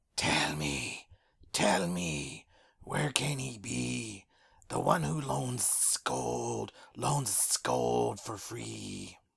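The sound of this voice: A man does a put-on character voice that is raspy and very deep, very slow in pace, with very wide pitch swings.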